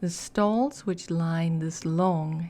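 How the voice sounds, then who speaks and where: Over a silent background on a very clean recording, a woman speaks at a very slow pace in a fairly low pitch, her tone dark, mellow and relaxed, with ordinary pitch variation. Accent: non-native. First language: not English. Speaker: ASMR / gaming content creator. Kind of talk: ASMR lore reading. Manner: soft-spoken, relaxed.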